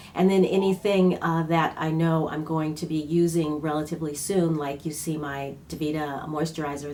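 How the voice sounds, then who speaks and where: A woman's very deep, low-pitched voice, monotone and flat, at a moderate pace amid noticeable background noise. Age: 60s. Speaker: beauty vlogger. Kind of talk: casual product review talk to camera. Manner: hesitant, many fillers.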